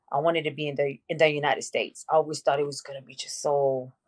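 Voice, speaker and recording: Her pitch is very deep and low, and she has a Mexican accent. The woman moves at a fairly quick pace. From Mexico, Tijuana; moved to Venice, California in eighth grade. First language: Spanish. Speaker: podcast guest, mother. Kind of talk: casual interview, personal life story. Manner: casual, many fillers.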